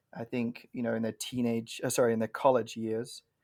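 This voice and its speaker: With an English accent, a man talks at a medium pitch. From England. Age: 30s. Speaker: pastor. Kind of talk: podcast interview.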